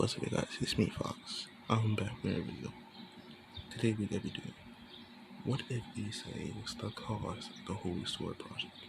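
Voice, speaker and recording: A man whispers quietly at a moderate pace. He leaves long, frequent pauses. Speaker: fan fiction storyteller. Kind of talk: reading aloud own fan story; casual intro to camera. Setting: at home at night. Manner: whispering, hushed.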